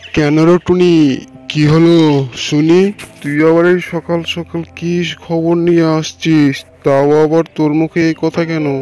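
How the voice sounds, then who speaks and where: A cartoonish character voice at a middle pitch speaks at a moderate pace in a flat monotone, with faint music playing in the background. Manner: familiar, blustery.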